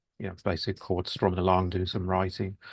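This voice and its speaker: Against a quiet background, a man speaks in a Birmingham accent with a very deep, low pitch. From Birmingham, England. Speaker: musician. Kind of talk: interview. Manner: halting, many fillers.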